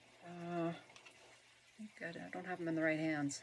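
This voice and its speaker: A woman's very deep, low-pitched voice amid noticeable background noise. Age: old. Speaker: senior citizen. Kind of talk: casual unboxing talk to camera.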